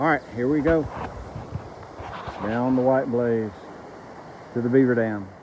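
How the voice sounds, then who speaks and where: Background noise is noticeable. The delivery comes at a fairly slow pace. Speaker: long-distance hiker vlogger. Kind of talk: casual vlog narration. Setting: outdoors on a hiking trail. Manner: hesitant with many fillers; loud, raised voice over creek.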